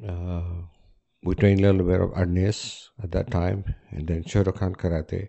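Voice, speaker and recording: Very deep and low, a man's voice moves at a fairly slow pace in a monotone, flat way. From Philippines. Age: 60s. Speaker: martial arts instructor. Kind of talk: casual interview. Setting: home.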